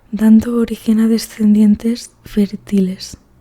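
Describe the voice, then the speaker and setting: This soft-spoken woman has a fairly high, somewhat breathy voice with a dark, mellow tone. Her intonation is monotone and flat. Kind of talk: ASMR book reading. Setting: headphones-oriented close-mic recording. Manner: soft-spoken, relaxing.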